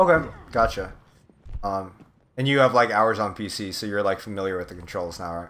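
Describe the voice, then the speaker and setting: A man with an American accent talks in a fairly low voice with ordinary pitch variation, big swings in loudness, and long, frequent pauses. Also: fairly quick pace. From California. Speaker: video game coach. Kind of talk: one-on-one coaching session. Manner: casual, filler-heavy.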